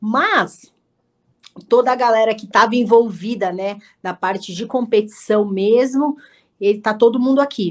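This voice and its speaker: A woman with a fairly high pitch speaks at a fairly slow pace, with ordinary pitch variation and long, frequent pauses. Her loudness swings widely in a very clean recording with a silent background. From Brazil, São Paulo ABC region (Santo André). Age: 30s. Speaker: jiu-jitsu athlete and instructor. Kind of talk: casual interview.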